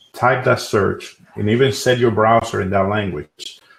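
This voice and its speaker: This man speaks with a Spanish accent at a moderate pace and a medium pitch. His delivery is somewhat breathy and fairly even in intonation, on a very clean recording with a silent background. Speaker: SEO expert and tool builder. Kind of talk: panel discussion.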